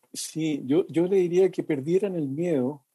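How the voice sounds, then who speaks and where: A dark, mellow tone delivered at a fairly slow pace. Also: man, dry, close sound with no echo. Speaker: lay preacher. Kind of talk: casual chat.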